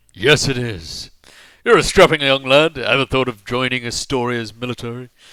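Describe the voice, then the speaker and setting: A man uses a booming, put-on character voice at medium pitch. He speaks at a moderate pace in a very clean recording with a silent background. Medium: actual play. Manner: loud, hearty, self-aggrandizing.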